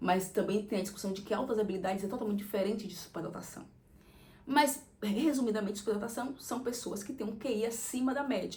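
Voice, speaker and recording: Audible room echo surrounds a woman with a fairly high pitch. She talks at a fairly quick pace with ordinary pitch variation. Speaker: content creator. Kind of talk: casual monologue.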